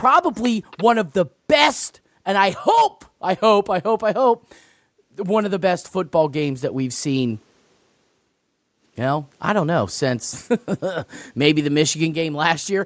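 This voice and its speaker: A man shouts loudly at a high pitch, his voice swinging very widely up and down at a fairly slow pace. Long, frequent pauses break it up, and the sound is dry and close with no echo. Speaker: sports podcast co-host. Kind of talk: casual chat. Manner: loud, yelling.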